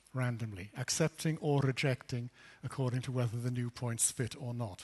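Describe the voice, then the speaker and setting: A man speaks at a moderate pace with medium pitch and fairly even intonation. His voice is somewhat breathy, and the sound is dry and close with no echo. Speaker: invited lecturer, physicist. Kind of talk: lecture.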